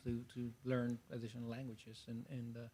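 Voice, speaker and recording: A man speaks very fast in a Spanish accent, at a medium pitch. His tone is dark and mellow. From Mexico. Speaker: STEM professional panelist. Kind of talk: panel discussion.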